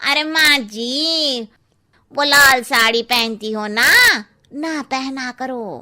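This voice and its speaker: A woman does a cartoonish character voice, high-pitched and very slow. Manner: blunt, cheeky.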